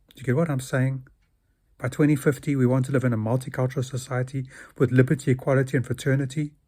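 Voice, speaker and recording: A dark, mellow, somewhat breathy voice at a very fast pace in a flat monotone, on a very clean recording with a silent background. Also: man, medium pitch for a man. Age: 60s. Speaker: video blogger. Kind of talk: monologue.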